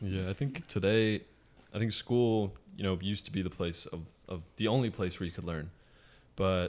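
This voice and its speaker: A man with an unremarkable speaking voice talks in a fairly low pitch with ordinary pitch variation, in a very clean recording with a silent background. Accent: American. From US West Coast, San Francisco Bay Area. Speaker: author. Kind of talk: interview.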